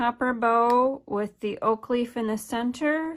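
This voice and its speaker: A woman's fairly high voice with an American accent, on a very clean recording with a silent background. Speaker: craft demonstrator. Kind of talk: tutorial.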